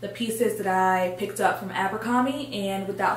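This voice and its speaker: Light background noise and audible room echo surround the voice of a woman. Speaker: fashion vlogger. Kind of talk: casual vlog chat. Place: home room.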